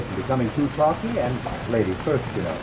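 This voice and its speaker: A man speaks fairly quickly while background noise is clearly noticeable. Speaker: TV show host. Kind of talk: scripted TV host banter. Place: studio.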